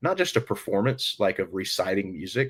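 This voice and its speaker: On a very clean recording with a silent background, a man with a normal speaking voice talks fairly quickly at a fairly low pitch. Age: 30s. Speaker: country band musician. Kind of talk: podcast interview, storytelling.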